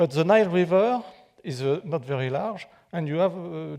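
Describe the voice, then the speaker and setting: A man with a French accent speaks at a fairly slow pace, his fairly high pitch carrying a dark, mellow tone. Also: very clean recording, silent background. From France. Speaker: architect and pyramid researcher, guest lecturer. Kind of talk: public lecture. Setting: theater with live audience. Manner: halting, many fillers and restarts.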